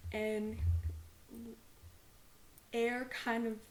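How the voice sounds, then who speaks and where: Somewhat breathy and fairly high in pitch, a woman talks with an American accent in a monotone, flat intonation. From Texas. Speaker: student, podcast host. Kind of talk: podcast introduction talk.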